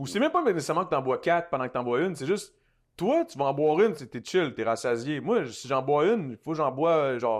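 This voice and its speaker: With a Quebec accent, a man speaks at a very fast pace in a fairly high pitch, his intonation lively and his loudness swinging widely. The background is quiet. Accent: Québécois French. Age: 30s. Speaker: influencer and recording artist. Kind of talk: casual interview chat. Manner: fast with frequent repetitions.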